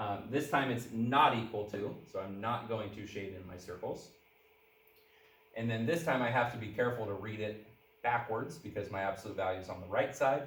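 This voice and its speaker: With audible room echo, a man of medium pitch speaks at a moderate pace with ordinary pitch variation. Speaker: math teacher. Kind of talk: lecture.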